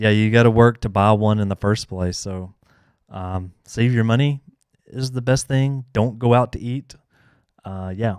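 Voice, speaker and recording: Speaking in a strong Southern US accent, a man with fairly low pitch keeps a moderate pace in a very clean recording with a silent background. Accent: thick Southern US. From US South. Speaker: YouTuber answering console hacking questions. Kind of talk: live Q&A stream. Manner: casual, many fillers.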